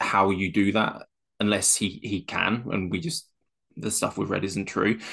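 A man's fairly low, plain, everyday voice at a moderate pace with ordinary pitch variation, against a quiet background. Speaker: co-host, football fan. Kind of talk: casual chat about football.

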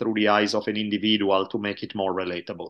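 A man speaks with an Italian accent in a bright, sharp tone. The background is quiet. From Italy. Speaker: history professor and podcaster. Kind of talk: casual interview conversation.

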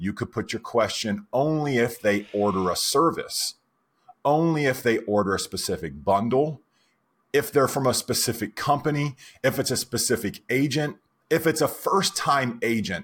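On a very clean recording with a silent background, a man with a medium pitch talks at a moderate pace with lively intonation. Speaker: software company founder and podcast co-host. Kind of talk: casual chat. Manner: loud.

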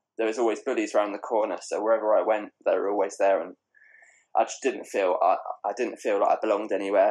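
Talking at a fairly quick pace, a man speaks with a southeast English accent. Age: 20s. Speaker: bullying survivor and journalist. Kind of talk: personal testimony. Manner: hesitant, repeats words.

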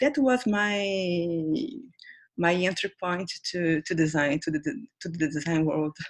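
A woman with a Brazilian accent talks at a very slow pace, her intonation lively. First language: Portuguese. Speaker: designer. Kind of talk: interview.

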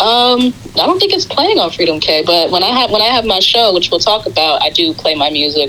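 A woman's fairly high voice in a New York accent, fairly quick with hardly any pauses, very wide pitch swings and very even loudness, over noticeable background noise. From Queens, New York. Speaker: R&B singer and radio host. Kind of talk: interview.

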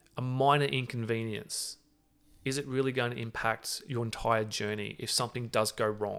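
Speaking at a moderate pace and medium pitch, a man uses a plain, everyday voice. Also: fairly even intonation. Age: 30s. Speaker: entrepreneur and navy veteran. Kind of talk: interview.

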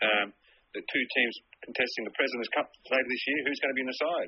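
The speech comes at a very fast pace with an Australian accent. Intonation stays fairly even. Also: man. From Sydney, Australia. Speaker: golf journalist. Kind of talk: interview.

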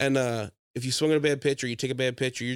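In an ordinary speaking voice, a man talks at medium pitch with fairly even intonation, on a very clean recording with a silent background and a dry, close sound with no echo. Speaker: podcast host and aspiring stand-up comedian. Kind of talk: casual comedic chat.

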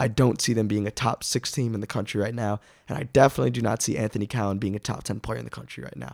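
A man talks at a very fast pace with vocal fry. The recording is very clean, with a silent background and a dry, close sound with no echo. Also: ordinary pitch variation. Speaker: basketball podcast host. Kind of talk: casual sports chat.

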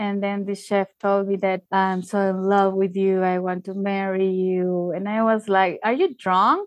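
Dry and close with no echo, a woman speaks with a Spanish accent. Her pace is fairly slow. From Peru (Tacna, southern). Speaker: former cruise ship crew member. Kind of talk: casual interview, personal storytelling. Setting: remote call.

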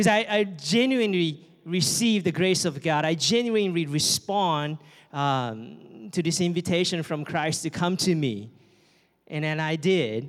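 On a very clean recording with a silent background, a man with a high pitch and a Japanese accent speaks at a fairly slow pace with lively intonation. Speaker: campus missionary. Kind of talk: sermon. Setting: church.

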